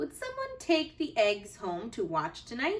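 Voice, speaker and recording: Put-on character voice from a woman, high in pitch and moderate in pace. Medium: read story.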